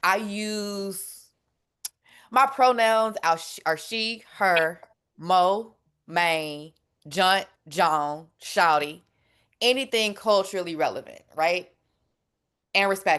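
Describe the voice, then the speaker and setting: A woman with a Southern US accent at a medium pitch, very slow with long, frequent pauses and ordinary pitch variation, over a quiet background. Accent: Southern twang. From Memphis, Tennessee, US South. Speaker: food justice advocate. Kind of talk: panel discussion. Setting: webinar. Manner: casual, conversational.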